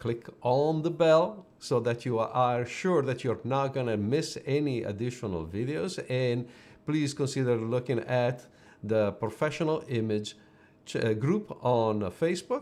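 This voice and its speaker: Speaking at a fairly slow pace, a man with an Italian accent uses a medium pitch and lively intonation. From Italy. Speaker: personal branding photographer. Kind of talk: live stream business talk. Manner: hesitant, with fillers and restarts.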